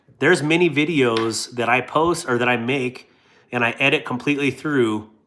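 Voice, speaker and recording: A man speaks at a medium pitch with a bright, sharp tone and fairly even intonation. The recording is very clean, with a silent background. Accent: North Dakota. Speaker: YouTuber reviewing products. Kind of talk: casual chat.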